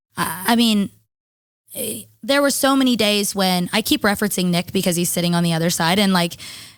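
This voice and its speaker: Fairly quick speech from a woman at medium pitch with ordinary pitch variation, on a very clean recording with a silent background. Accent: American. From US Midwest, southern Illinois near St Louis. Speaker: singer-songwriter. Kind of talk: casual chat.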